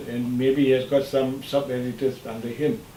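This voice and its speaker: Man's fairly high-pitched voice with audible room echo and noticeable background noise. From Malaysia. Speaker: son of a scholar, interviewee. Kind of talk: interview, reminiscing. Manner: halting.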